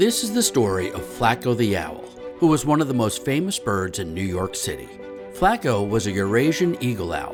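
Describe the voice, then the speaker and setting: A man talks at a moderate pace with very wide pitch swings. Music plays behind him. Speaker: children's book author reading his own book. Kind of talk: children's picture book read-aloud.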